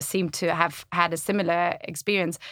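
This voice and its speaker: A woman's fairly low voice in a German accent, with vocal fry, a monotone, flat intonation and a moderate pace. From Germany. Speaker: community website founder. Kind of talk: casual interview chat. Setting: studio.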